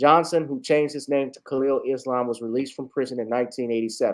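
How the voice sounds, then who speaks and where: This man has an unremarkable speaking voice. His pitch sits fairly high, with fairly even intonation. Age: 30s. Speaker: online talk show host. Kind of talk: news commentary; reading aloud.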